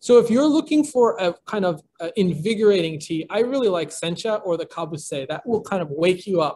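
A man speaks with a high pitch at a moderate pace. His intonation is lively. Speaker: tea company founder. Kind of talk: online presentation. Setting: video call. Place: home room. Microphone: video call.

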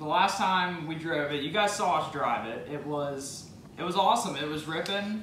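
A man's voice comes through with light background noise and an audible echo from the room. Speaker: car hobbyist vlogger. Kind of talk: casual vlog chat. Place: garage. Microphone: camera far.

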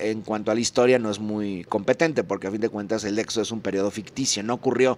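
With ordinary pitch variation and a medium pitch, a man delivers his words fairly quickly. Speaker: political commentary youtuber. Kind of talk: recorded video commentary. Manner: fast.

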